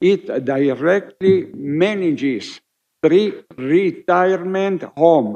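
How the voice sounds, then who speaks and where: A man with an Italian accent speaks at a very slow pace. His voice is high-pitched, with a dark, mellow tone and ordinary pitch variation. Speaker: scholar of heraldry and genealogy. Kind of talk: conference speech. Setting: summit hall with audience. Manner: formal.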